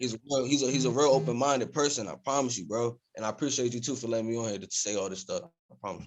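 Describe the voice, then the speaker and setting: A man with an American accent at a very fast pace, hardly any pauses, medium pitch, ordinary pitch variation and big swings in loudness. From Reading, Pennsylvania, US. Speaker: rapper. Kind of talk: casual podcast interview. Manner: animated.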